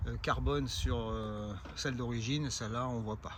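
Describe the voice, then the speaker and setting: A man speaks at a fairly slow pace. The room echo is audible. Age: 60s. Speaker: amateur cyclist vlogger. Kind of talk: casual product presentation. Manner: hesitant, many filler sounds.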